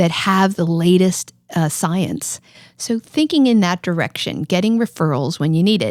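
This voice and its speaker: With an unremarkable speaking voice, a woman talks at a moderate pace, fairly low in pitch with lively intonation, in a dry, close sound with no echo on a very clean recording with a silent background. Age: 60s. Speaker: cardiologist. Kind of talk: podcast interview. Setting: studio.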